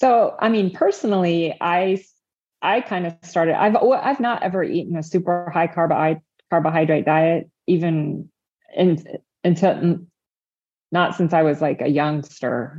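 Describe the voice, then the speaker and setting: A woman with an American accent has a plain, everyday voice, fairly low in pitch with ordinary pitch variation, speaking at a fairly slow pace against a quiet background. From Indiana, US Midwest. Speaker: registered dietitian. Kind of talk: interview conversation.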